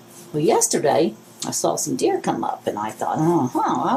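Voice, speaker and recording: Fairly quick speech from a woman, with noticeable background noise behind it. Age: 70s. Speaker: craft video host. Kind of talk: tutorial. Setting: home, filming alone. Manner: casual, rambling with fillers.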